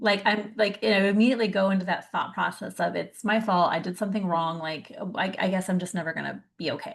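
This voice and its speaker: Speaking at a very fast pace with hardly any pauses, a woman keeps to a medium pitch with ordinary pitch variation. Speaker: summit interviewer. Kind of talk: interview conversation.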